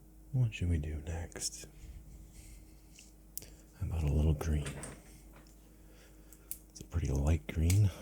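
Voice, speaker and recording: The voice is soft-spoken and relaxed, with a dark, mellow tone, vocal fry and lively intonation. It moves at a fairly slow pace with long, frequent pauses. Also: man, very deep, low pitch for a man. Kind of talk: ASMR soft spoken narration while coloring. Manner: soft-spoken, slow, relaxed.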